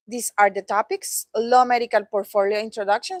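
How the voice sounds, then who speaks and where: A woman with a Latin American accent talks at a medium pitch and moderate pace, with a dry, close sound and no echo. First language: Spanish. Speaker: product trainer. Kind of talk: training presentation. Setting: training session with live audience.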